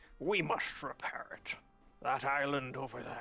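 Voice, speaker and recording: A put-on character voice, strained and raspy, at a low-to-middle pitch and a moderate pace. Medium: game stream. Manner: strained, halting.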